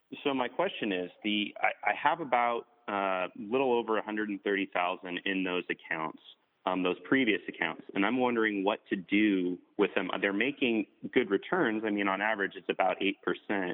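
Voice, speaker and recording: In an American accent, a man speaks at a moderate pace in an ordinary speaking voice, fairly low in pitch with ordinary pitch variation. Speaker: caller. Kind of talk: casual chat. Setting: phone call.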